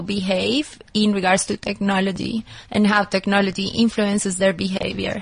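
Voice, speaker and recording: At a moderate pace, a woman with a non-native accent speaks at medium pitch, somewhat breathy. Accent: noticeable foreign. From Colombia. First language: Spanish. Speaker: anthropologist and consultant. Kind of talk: interview. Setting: studio.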